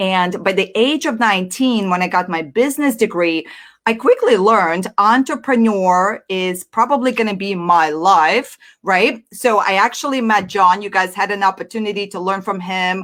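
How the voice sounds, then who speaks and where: A woman talks in a Russian accent. The recording is very clean, with a silent background. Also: medium pitch for a woman, ordinary pitch variation, moderate pace. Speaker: entrepreneur and business coach. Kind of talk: live-stream presentation. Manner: energetic, animated.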